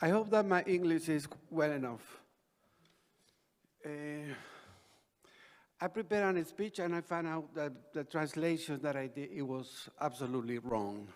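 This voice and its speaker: Speaking with a Spanish accent, a man uses a fairly high pitch and lively intonation at a fairly slow pace. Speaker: ambassador. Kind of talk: conference speech.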